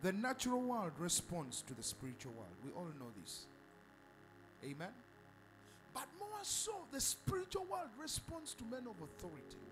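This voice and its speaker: Long, frequent pauses from a man, with music in the background. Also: moderate pace. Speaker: preacher. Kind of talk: sermon. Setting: church. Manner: animated; call-and-response, repetitive.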